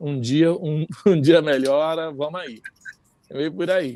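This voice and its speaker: Using a normal speaking voice, a man talks in a fairly high pitch and varies it in an ordinary way. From Rio de Janeiro, Brazil. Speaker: samba musician. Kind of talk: interview answer.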